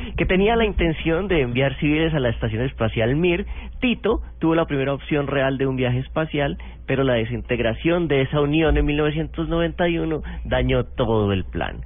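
At a moderate pace, a man speaks with very even loudness. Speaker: radio co-host. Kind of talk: casual chat.

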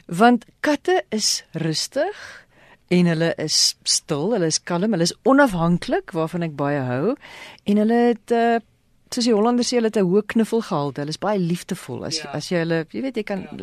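Over a quiet background, a woman at a medium pitch makes very wide pitch swings, with a dry, close sound and no echo. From South Africa, Western Cape (Ceres). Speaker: radio presenter. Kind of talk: radio interview.

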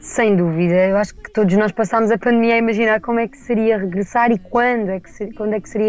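Speaking very fast, a woman uses fairly even intonation. Her pitch is fairly high. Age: 20s. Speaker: fado singer. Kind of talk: interview.

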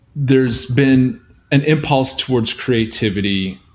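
Delivered at a fairly slow pace, a normal speaking voice shows ordinary pitch variation. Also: man. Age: 40s. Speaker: screenwriter and poet. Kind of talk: interview conversation.

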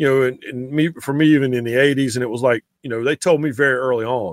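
A man speaks with a Southern accent at a medium pitch. His intonation is fairly even. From eastern North Carolina (Raleigh). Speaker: sports writer. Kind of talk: casual chat.

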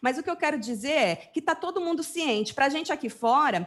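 With lively intonation, a woman speaks in a São Paulo interior accent. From São Paulo state, Brazil (interior). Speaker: web TV presenter. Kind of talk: casual chat.

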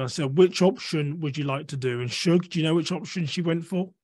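A fairly quick pace in an English accent against a quiet background. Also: man. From England. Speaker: security and de-escalation consultant. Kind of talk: interview.

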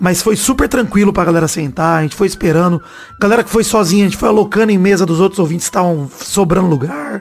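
A man's high-pitched voice at a very fast pace, over noticeable background noise. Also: ordinary pitch variation. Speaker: football podcast host. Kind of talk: casual chat. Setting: live stream.

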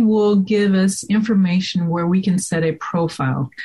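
This is a woman with an ordinary speaking voice at medium pitch. She talks at a moderate pace. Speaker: technology professional and board member. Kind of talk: casual interview.

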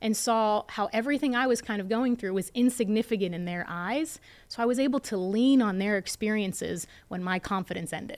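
Speaking fairly quickly with hardly any pauses, a woman has an unremarkable speaking voice and a fairly high pitch. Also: ordinary pitch variation. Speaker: entrepreneur and investor. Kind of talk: interview.

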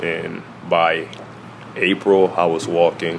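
Noticeable background noise sits under a man with an American accent whose very deep, low voice stays monotone, with flat intonation. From New York, Newburgh. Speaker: college basketball player. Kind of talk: interview answers.

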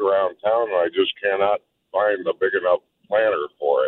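A man talks at a fairly slow pace. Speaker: caller. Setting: phone call.

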